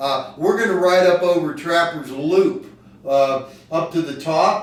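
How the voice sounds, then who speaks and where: High-pitched male speech at a fairly slow pace, ordinary pitch variation, and audible room echo. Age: 50s. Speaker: heart patient and cyclist. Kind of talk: casual chat. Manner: animated.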